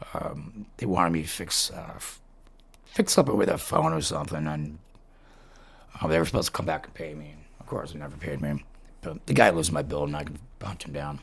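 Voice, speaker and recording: A man talks very fast in a very deep, low voice, with long, frequent pauses. His intonation is fairly even while his loudness swings widely. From Massachusetts, Worcester area. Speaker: podcast host. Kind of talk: casual chat with reading aloud of stories. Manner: rambling with frequent fillers.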